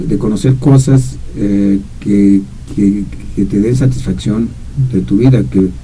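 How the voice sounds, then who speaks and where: The voice has a dark, mellow tone, somewhat breathy, with very wide pitch swings. It moves at a very slow pace with long, frequent pauses and audible room echo. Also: man, fairly low pitch for a man, very even loudness. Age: 70s. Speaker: radio commentator. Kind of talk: casual chat. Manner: halting, many repetitions.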